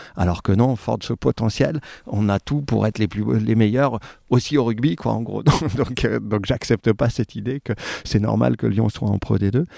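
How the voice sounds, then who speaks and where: Moderately paced, a man speaks with a fairly low, dark, mellow voice, vocal fry and ordinary pitch variation. The sound is dry and close, with no echo. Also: very clean recording, silent background. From France, Saint-Étienne. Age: 40s. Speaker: rugby club president. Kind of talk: interview. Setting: at guest's home.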